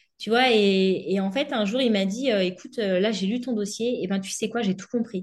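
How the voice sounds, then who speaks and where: A woman of medium pitch speaks in a plain, everyday voice, with ordinary pitch variation. She keeps a moderate pace with hardly any pauses. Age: 30s. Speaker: former bank employee turned entrepreneur. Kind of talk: interview.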